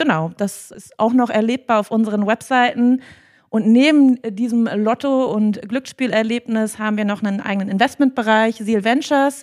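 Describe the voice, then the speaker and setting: A woman with a normal speaking voice and a fairly high pitch talks at a moderate pace with ordinary pitch variation. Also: dry, close sound with no echo. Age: 30s. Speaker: HR manager. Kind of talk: interview. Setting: company office.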